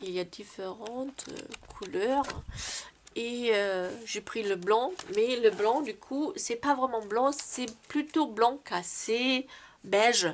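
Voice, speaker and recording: A woman's fairly high voice at a very slow pace, with big swings in loudness and long, frequent pauses. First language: not French (speaking French). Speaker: card-making crafter. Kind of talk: tutorial. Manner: halting, many hesitations.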